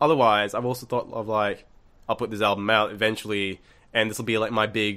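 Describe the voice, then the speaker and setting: A man speaks at a fairly low pitch in a bright, sharp tone, fairly quickly and with monotone, flat intonation. The recording is very clean, with a silent background. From Malaysia, Kuala Lumpur. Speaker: musician. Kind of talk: casual chat. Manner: casual, filler-heavy speech.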